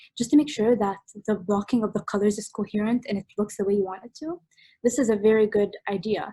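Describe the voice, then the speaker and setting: Somewhat breathy and fairly high, a woman speaks at a very fast pace with ordinary pitch variation, in a dry, close sound with no echo. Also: big swings in loudness. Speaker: art workshop instructor. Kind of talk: online workshop tutorial. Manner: casual, hesitant with fillers.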